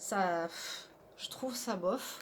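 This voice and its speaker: Soft-spoken, the woman talks with pitch that varies in an ordinary way. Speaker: tarot card reader. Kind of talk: tarot reading.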